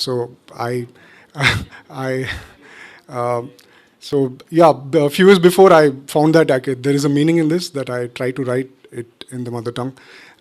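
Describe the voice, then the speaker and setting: Pausing long and often, a man with an Indian accent talks at a moderate pace, his loudness swinging widely and his pitch varying in an ordinary way. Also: medium pitch for a man. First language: Tulu. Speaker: architect and songwriter. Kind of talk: informal talk to live audience. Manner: halting, many fillers.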